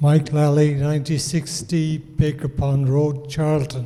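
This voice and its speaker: Over noticeable background noise, a man speaks in a fairly high pitch. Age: 80s+. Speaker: resident speaking at town meeting. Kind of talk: public comment at town meeting.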